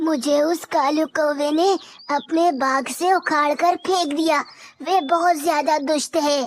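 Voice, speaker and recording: This cartoonish character voice is high-pitched and delivered at a fairly slow pace. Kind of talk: cartoon voice acting. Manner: earnest.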